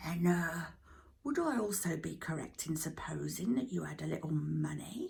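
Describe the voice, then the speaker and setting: A woman does a put-on character voice at a moderate pace. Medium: read story. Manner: pompous, hesitant with "uh" fillers.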